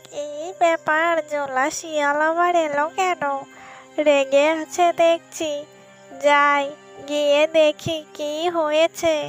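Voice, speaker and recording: A cartoonish character voice, high-pitched and very slow, over clear music in the background. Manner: fearful, wheedling.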